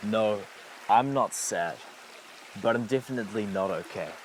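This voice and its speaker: Ordinary pitch variation from a man over noticeable background noise. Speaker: spoken word poet. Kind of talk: spoken word poetry performance.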